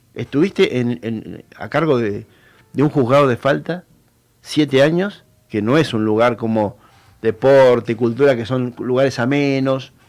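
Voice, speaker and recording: A man with a Rioplatense accent, medium in pitch, at a fairly slow pace with ordinary pitch variation. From Argentina, Buenos Aires province (Benavides, Tigre). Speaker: local political candidate. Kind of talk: radio interview. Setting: radio studio. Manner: hesitant, many fillers.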